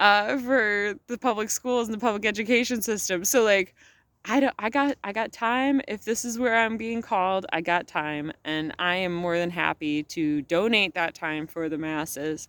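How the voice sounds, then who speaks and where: A woman at medium pitch and moderate pace, animated tone and lively intonation, hardly any pauses, on a very clean recording with a silent background and a dry, close sound with no echo. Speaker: vlogger. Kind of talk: casual vlog monologue. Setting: outdoors at sunset. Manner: loud.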